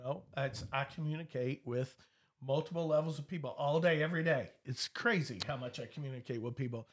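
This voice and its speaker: This man talks at a fairly quick pace in a fairly high pitch. His voice is somewhat breathy. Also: ordinary pitch variation. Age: 50s. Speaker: real estate broker and auctioneer. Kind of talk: casual chat.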